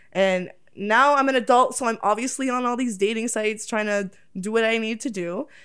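Speaking with a Toronto accent, a woman talks at a fairly quick pace and a fairly high pitch with fairly even intonation. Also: very clean recording, silent background. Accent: Canadian (Toronto area). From Oakville, Ontario, Canada. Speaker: adult content creator. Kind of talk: casual chat.

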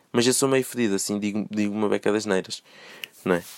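The sound is dry and close with no echo as a man with a fairly low pitch and ordinary pitch variation talks at a fairly quick pace. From Portugal, moved from Brazil as a small child. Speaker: solo podcaster. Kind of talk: casual monologue. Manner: animated.

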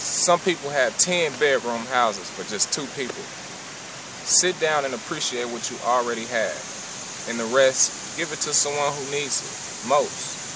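Audible room echo and noticeable background noise fill the clip. A man talks at a fairly slow pace with ordinary pitch variation. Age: 20s. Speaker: religious commentator. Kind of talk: sermon-style monologue.

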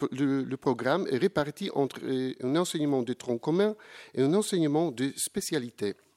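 Speaking with a Polish accent, a man uses a fairly high pitch, lively intonation and a moderate pace, in a dry, close sound with no echo. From Poland. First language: Polish (speaking French). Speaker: professor. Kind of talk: conference talk. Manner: formal.

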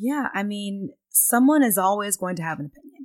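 In an ordinary speaking voice, a woman with an American accent talks at a moderate pace with lively intonation, the sound dry and close with no echo. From Texas, Pflugerville near Austin. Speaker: company chief of staff. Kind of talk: casual interview.

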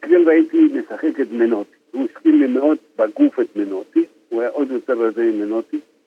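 A man at a moderate pace. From Argentina. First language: Spanish (speaking Hebrew). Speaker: football fan. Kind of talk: casual chat. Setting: phone call. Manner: halting.

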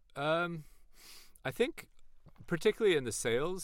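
A man talks with an American accent. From California, East Bay. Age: 40s. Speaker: startup founder and CEO. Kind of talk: podcast interview.

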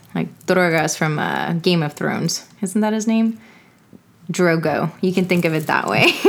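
A woman with a Texan accent, fairly low in pitch, at a fairly slow pace with ordinary pitch variation. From Texas. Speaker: medical student. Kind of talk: educational casual chat. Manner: animated.

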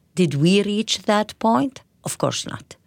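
Speaking very slowly in an Arabic accent, a woman lets her pitch swing very widely. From Israel, Palestinian community. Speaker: politician. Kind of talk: interview. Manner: halting, many hesitations.

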